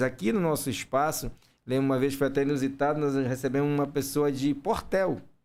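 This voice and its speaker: In a very clean recording with a silent background, a man with an unremarkable speaking voice talks at a medium pitch and a fairly quick pace, his intonation fairly even. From Maranhão, Brazil. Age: 50s. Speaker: charity network coordinator. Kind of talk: podcast interview.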